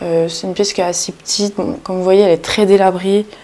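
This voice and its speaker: A woman's medium-pitched voice comes through in a monotone, flat intonation against noticeable background noise. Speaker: urbex vlogger. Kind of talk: exploration vlog narration. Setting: inside abandoned house near road. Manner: speaking quietly; hesitant, many fillers.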